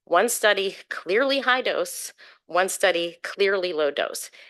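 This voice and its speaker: Against a quiet background, a bright, sharp tone carries ordinary pitch variation. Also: woman. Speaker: public commenter at scientific review meeting. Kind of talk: public comment presentation. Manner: fast.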